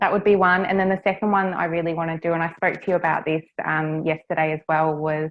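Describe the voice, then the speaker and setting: A fairly low-pitched woman with an Australian accent and fairly even intonation. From Australia, Cairns, Far North Queensland. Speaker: property business development manager. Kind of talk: interview.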